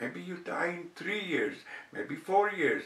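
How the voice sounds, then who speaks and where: A man's high-pitched voice with audible room echo and noticeable background noise. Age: 70s. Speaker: cancer survivor vlogger. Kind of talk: personal storytelling. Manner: hesitant with fillers.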